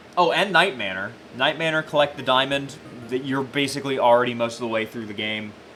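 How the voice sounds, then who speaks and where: The speech comes at a very fast pace with ordinary pitch variation and noticeable background noise. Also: man, medium pitch for a man. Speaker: esports caster. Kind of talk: live commentary. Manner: halting, repetitive.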